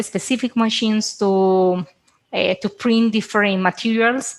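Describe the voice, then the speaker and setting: In a very clean recording with a silent background, a woman with a Spanish accent talks at a fairly slow pace, using fairly high pitch and fairly even intonation. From Colombia. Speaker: biomedical engineer. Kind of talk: interview. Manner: halting.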